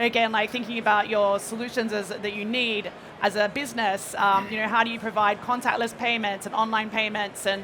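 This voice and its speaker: Over noticeable background noise, a woman with an Australian accent speaks at a fairly quick pace and fairly high pitch. Her intonation is monotone and flat. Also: hardly any pauses. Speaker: payments panelist. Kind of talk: panel discussion. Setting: stage with audience.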